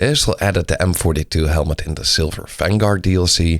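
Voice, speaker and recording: With a Dutch accent, a man with a very deep, low pitch speaks at a fairly quick pace and ordinary pitch variation, in a very clean recording with a silent background. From Netherlands. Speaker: gaming YouTuber. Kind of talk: game update preview video.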